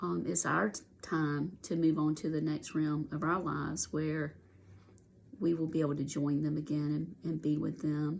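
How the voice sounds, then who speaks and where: With vocal fry and fairly even intonation, a woman speaks at a very deep, low pitch and a moderate pace. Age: 60s. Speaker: coloring video creator sharing grief story. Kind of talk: casual personal testimony while coloring. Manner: halting, repeating words.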